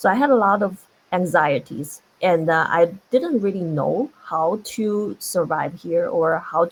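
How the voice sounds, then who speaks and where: A woman talks with a non-native accent. Her pitch is fairly low, with ordinary variation. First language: not English. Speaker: tech industry panelist. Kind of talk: panel discussion.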